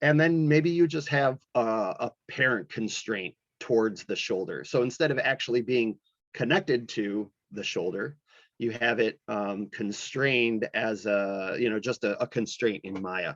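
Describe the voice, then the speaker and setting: A man with a normal speaking voice, medium in pitch, at a fairly slow pace with lively intonation, in a dry, close sound with no echo. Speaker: animation instructor. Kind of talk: lecture. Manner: casual, many fillers.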